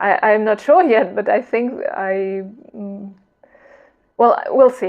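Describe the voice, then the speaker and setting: A woman's fairly high voice with a non-native accent, at a very slow pace. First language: not English. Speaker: knitting vlogger. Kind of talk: casual vlog chat. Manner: hesitant, with fillers and repetitions.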